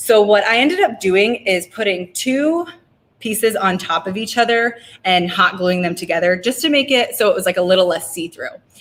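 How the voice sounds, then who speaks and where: Her pitch sits in the medium range for a woman, and a woman's voice shows ordinary pitch variation. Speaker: craft workshop host. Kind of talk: tutorial. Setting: winery craft area, livestream. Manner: fast; casual, filler-heavy.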